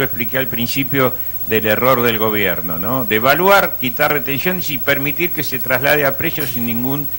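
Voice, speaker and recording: With an Argentine accent, a man speaks at medium pitch and a moderate pace, his tone bright and sharp. His intonation is lively, with hardly any pauses. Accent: Argentine Spanish (Rioplatense). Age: 60s. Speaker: economist. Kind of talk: interview.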